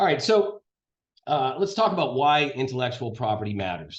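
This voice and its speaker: Somewhat breathy, a man speaks at a fairly quick pace and a medium pitch. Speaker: lawyer. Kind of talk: lecture. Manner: fast.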